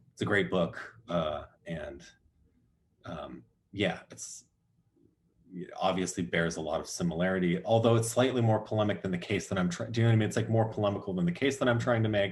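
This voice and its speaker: A somewhat breathy man with a fairly low pitch talks fairly quickly and with lively intonation, broken by long, frequent pauses. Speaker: academic speaker. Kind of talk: academic Q&A discussion. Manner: halting with many fillers.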